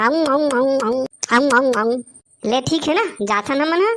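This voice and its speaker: A woman performs a cartoonish character voice, high-pitched and at a fairly quick pace. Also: very even loudness. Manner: pushy, chatty.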